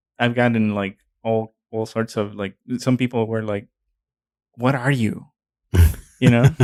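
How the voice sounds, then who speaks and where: A man with a slight Mexican accent speaks at a medium pitch in a monotone, flat way, at a fairly slow pace. Long, frequent pauses break up the dry, close sound with no echo. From Mexico. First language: Spanish. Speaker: podcast co-host. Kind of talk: casual chat.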